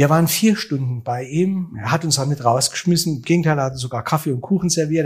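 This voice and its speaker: A man with a normal speaking voice, fairly high pitch and fairly even intonation. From Germany, Saarland (Saarbrücken). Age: 60s. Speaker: musician and event manager. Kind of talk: interview.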